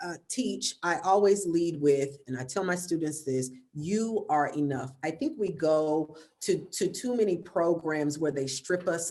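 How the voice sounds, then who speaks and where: With an American accent, a woman speaks at a fairly slow pace in a very deep, low pitch, her tone dark and mellow and her pitch variation ordinary. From US South. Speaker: actor and arts educator. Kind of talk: panel discussion.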